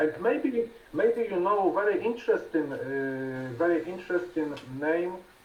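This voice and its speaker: Over noticeable background noise, a man with a Polish accent speaks at a fairly slow pace in a high pitch. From Poland. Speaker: conversation partner. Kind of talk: casual conversation practice. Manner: halting.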